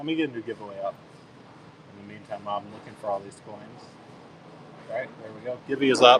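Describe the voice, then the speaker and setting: Amid noticeable background noise, a man with an American accent talks at a very fast pace at medium pitch with ordinary pitch variation, long, frequent pauses and big swings in loudness. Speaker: coin seller on live auction stream. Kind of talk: live selling stream. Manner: casual, chatty.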